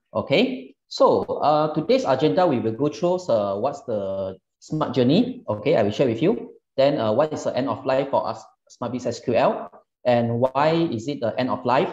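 A man speaks at a moderate pace. The background is quiet, with audible room echo. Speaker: presenter. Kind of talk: webinar presentation. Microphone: webcam.

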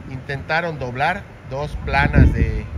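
Over clear background noise, a man talks with a medium pitch.

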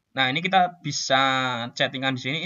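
A man's normal speaking voice, medium in pitch with ordinary pitch variation. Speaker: scout youth leader. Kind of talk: tutorial. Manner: casual, with fillers.

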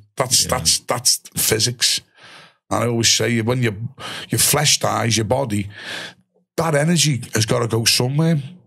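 Against a quiet background, a man speaks at a moderate pace with very even loudness, ordinary pitch variation and long, frequent pauses. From Liverpool, England. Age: 50s. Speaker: ex-soldier and musician; podcast guest. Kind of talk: casual interview chat. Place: studio. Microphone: studio mic.

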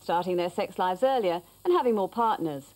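A woman speaks at a moderate pace with a slightly mellow tone.

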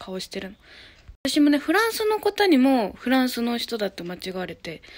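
A woman talks at a high pitch and a fairly quick pace. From Japan, Hyogo. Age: 20s. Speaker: YouTuber; vlogger. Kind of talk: casual self-introduction vlog. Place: home room. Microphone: phone near.

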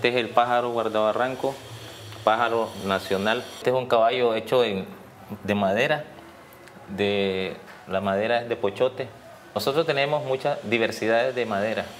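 Medium pitch from a man at a moderate pace, over light background noise. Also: fairly even intonation. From Nicaragua, San Juan del Sur; Nicaragua. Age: 50s. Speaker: artist. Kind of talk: casual explanation of his artworks. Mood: proud, relaxed. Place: home room. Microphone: lapel.

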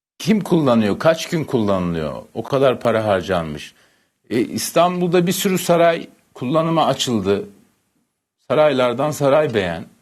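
At a fairly slow pace, a man with a medium pitch speaks in very wide pitch swings over a quiet background. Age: 50s. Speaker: journalist. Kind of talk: TV panel discussion. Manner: hesitant, many fillers.

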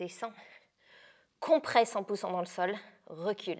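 Over a quiet background, a woman speaks at a very slow pace. Her tone is bright and sharp. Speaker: fitness instructor. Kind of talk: workout coaching instructions. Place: gym.

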